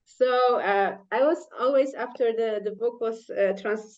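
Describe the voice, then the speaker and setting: A woman is speaking. She has a Polish accent. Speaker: scientist and author. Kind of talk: panel discussion. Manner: halting.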